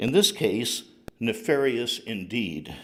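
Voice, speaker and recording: The man's pitch swings very wide while his pace stays moderate. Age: 60s. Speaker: retired chemical engineer, public commenter. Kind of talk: public comment at city council. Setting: council chambers. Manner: reading prepared statement.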